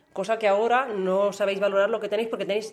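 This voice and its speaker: Words pour out of this woman at a very fast pace. Her voice sits at a medium pitch, and her intonation stays fairly even. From Catalonia, Spain. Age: 40s. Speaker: parent interviewed by child. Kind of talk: interview.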